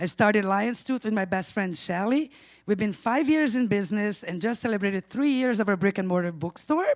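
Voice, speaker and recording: A woman with a Brazilian Portuguese accent on a very clean recording with a silent background. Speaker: storyteller, bookstore owner. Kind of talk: live storytelling.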